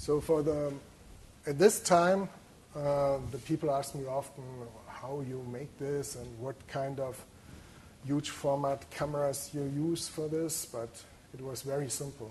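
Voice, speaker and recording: A man with a German accent, fairly slow with long, frequent pauses and big swings in loudness, in audible room echo. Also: fairly high pitch for a man, fairly even intonation. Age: 40s. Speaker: photographer. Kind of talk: lecture. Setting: lecture hall with audience. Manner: halting.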